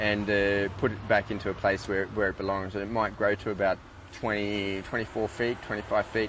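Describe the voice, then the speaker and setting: Over light background noise, a man talks at a moderate pace in a fairly low pitch, the sound dry with no echo. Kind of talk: interview answer. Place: street. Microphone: lapel.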